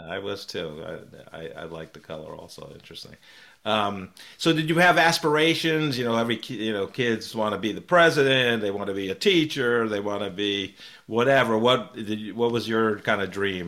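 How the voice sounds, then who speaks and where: Lively in intonation, with big swings in loudness, a man with an American accent speaks at medium pitch and a moderate pace in a bright, sharp tone, in a very clean recording with a silent background. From New York (Peekskill). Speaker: podcast host, business leader. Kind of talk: interview. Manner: halting.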